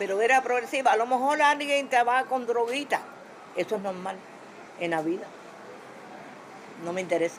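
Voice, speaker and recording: A woman speaks fairly quickly, her pitch varying in an ordinary way, with noticeable background noise behind her. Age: 70s. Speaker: Cuban resident interviewee. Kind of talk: interview.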